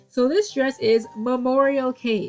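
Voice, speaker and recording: A woman speaks over noticeable background noise. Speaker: lolita fashion youtuber. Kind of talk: casual chat to camera. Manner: fast.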